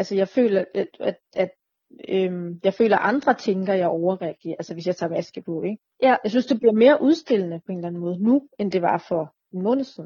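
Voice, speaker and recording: Speaking at a medium pitch, a woman has a somewhat breathy voice and lively intonation. She moves at a fairly quick pace. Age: 30s. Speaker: chronically ill patient sharing experience. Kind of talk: casual interview.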